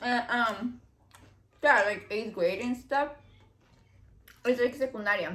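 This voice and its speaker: A woman's high voice with a slight Mexican accent, fairly slow and broken by long, frequent pauses, with ordinary pitch variation. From Mexico. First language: Spanish. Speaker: YouTuber. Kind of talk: casual chat. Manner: casual, filler-heavy.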